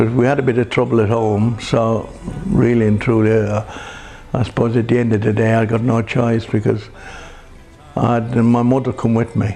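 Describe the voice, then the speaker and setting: A man's medium-pitched, monotone voice at a moderate pace, very even in loudness, with long, frequent pauses and music in the background. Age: 70s. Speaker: Irish immigrant, interviewee. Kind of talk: reminiscence interview.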